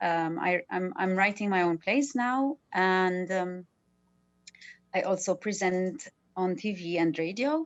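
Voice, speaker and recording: Speaking very slowly in a Maltese accent, a woman uses a medium pitch and ordinary pitch variation while music plays behind her. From Malta. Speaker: artist, actor and TV/radio presenter. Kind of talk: casual panel discussion. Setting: video call.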